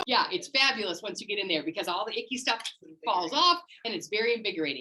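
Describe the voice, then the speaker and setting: Very fast and animated, a woman's fairly high voice makes very wide pitch swings. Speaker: wellness class instructor. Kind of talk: live class teaching. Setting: in-person class also on Zoom.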